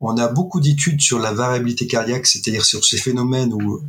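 Pitch variation stays ordinary while the talking runs at a fairly quick pace. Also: man. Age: 50s. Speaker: hypnosis practitioner and breathing coach, retired soldier. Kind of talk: interview. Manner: hesitant, many filler sounds.

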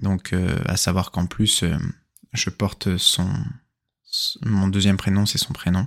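Very slowly, a man talks in a fairly low register, his pitch varying in an ordinary way. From central Brittany, France. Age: 20s. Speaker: podcaster. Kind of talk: personal storytelling monologue. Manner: hesitant, many fillers.

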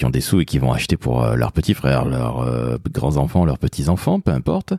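A man talks fairly quickly with vocal fry and lively intonation. The sound is dry and close, with no echo. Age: 50s. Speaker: podcast host, father. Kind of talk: casual chat.

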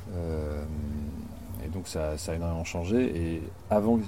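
A man with a very deep, low pitch talks at a fairly slow pace. His pitch varies in an ordinary way, and there is noticeable background noise. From rural France. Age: 50s. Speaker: board game designer and graphic artist. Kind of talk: casual interview. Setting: outdoors in a garden.

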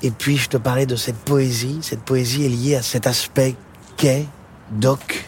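The speaker is a man with monotone, flat intonation. He goes along at a very slow pace. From Paris, France. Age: 40s. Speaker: singer-songwriter. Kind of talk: casual chat. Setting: outdoors.

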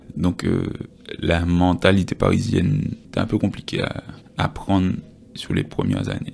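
Over noticeable background noise, a man with a very deep, low pitch speaks at a fairly slow pace with fairly even intonation and long, frequent pauses. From Guadeloupe. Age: 20s. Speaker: fitness coach. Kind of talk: casual interview chat.

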